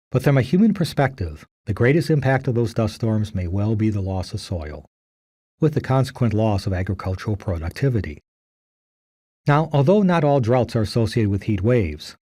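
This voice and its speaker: Recorded very cleanly against a silent background, a man with a dark, mellow tone and medium pitch speaks fairly quickly, somewhat breathy, with lively intonation. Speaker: geology professor. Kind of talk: recorded lecture.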